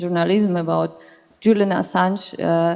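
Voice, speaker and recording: A woman speaks with a Russian accent at a moderate pace. Her pitch sits in the medium range. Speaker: audience member. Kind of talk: audience question. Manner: halting.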